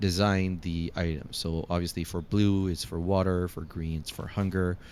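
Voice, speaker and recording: Speaking at a moderate pace with a non-native accent, a man has a very deep, low pitch. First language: not English. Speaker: gaming YouTuber. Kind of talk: gameplay commentary. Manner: casual, many filler 'uh's.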